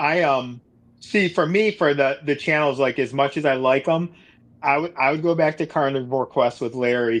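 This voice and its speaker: A man with a plain, everyday voice speaks at a medium pitch and moderate pace with ordinary pitch variation against a quiet background. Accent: American. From Buffalo, New York. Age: 40s. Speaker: carnivore diet youtuber. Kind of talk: casual chat.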